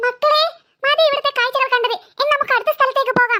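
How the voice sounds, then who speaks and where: A woman's squeaky, cartoonish character voice, extremely high in pitch and at a very fast pace. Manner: warm, coaxing.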